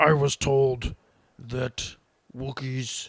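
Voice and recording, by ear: A put-on character voice holds a low-to-middle pitch with monotone, flat intonation.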